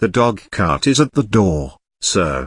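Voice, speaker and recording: A cartoonish character voice with very wide pitch swings moves at a fairly slow pace, recorded dry and close with no echo. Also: man. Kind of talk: Victorian stage comedy. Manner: formal, deferential.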